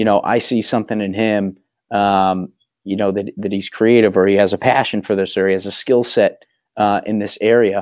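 In a Boston accent, a man speaks at a fairly quick pace and a fairly low pitch. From Massachusetts (Waltham, near Boston). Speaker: small business owner. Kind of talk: casual chat.

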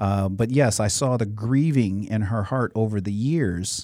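Over a very clean, silent background, a man with an American accent speaks at a moderate pace in a fairly low pitch, with ordinary pitch variation and a dark, mellow tone. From US Midwest (Cleveland, Chicago suburbs). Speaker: motivational speaker and youth mentor. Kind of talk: interview.

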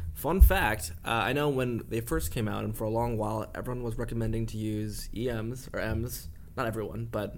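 A man talks in an ordinary speaking voice at a medium pitch. He moves at a fairly quick pace. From Canada. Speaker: podcast co-host. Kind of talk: casual podcast chat.

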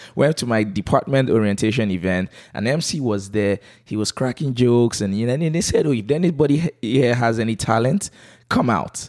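With a slight Nigerian accent, a man speaks at medium pitch and a moderate pace with lively intonation in a dry, close sound with no echo. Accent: light Nigerian English. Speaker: comedian and MC. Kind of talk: casual interview. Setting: at home. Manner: calm.

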